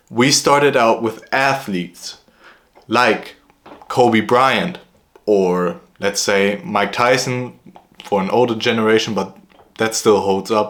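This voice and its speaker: A man speaks with a German accent at a very slow pace, with ordinary pitch variation. He leaves long, frequent pauses. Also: medium pitch for a man. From Germany. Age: 20s. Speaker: vlogger. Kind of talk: casual vlog monologue. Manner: hesitant with fillers.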